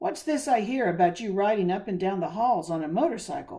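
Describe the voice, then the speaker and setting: In a put-on character voice, the speaker sounds raspy at a middle pitch and a fairly quick pace. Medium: read story. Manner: blunt, hearty.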